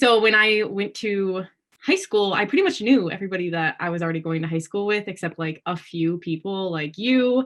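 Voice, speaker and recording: A woman with a normal speaking voice, medium pitch, ordinary pitch variation, and a moderate pace. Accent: American. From Wisconsin, US Midwest. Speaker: pageant titleholder. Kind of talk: casual interview chat.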